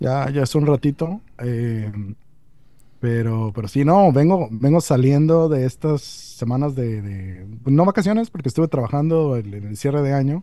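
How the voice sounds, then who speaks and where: This man's voice is dark and mellow, pitched fairly high for a man, with lively intonation. He talks at a fairly slow pace. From Mexico (born Mexicali, moved around, studied in Monterrey). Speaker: tabletop role-playing community organizer. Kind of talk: casual interview. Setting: remote call. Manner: hesitant, many fillers and repetitions.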